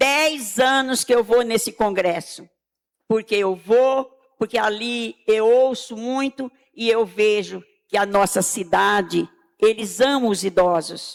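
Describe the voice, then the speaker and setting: A woman's fairly high voice at a very slow pace. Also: ordinary pitch variation. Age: 80s+. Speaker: senior citizen, municipal health council member. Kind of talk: public hearing speech. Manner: emphatic, repetitive.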